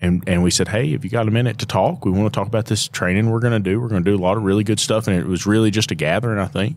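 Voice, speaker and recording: A man talks at a very fast pace with a fairly low pitch and ordinary pitch variation, the sound dry with no echo and the background quiet. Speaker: podcast host. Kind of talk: casual chat. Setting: trade show event. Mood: relaxed, friendly. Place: hall. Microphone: handheld.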